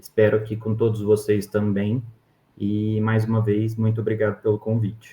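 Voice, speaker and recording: At a fairly slow pace, a man speaks with a fairly low pitch, a dark, mellow tone and a somewhat breathy sound. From Brazil, interior of Minas Gerais. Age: 20s. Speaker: endodontist. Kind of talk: interview.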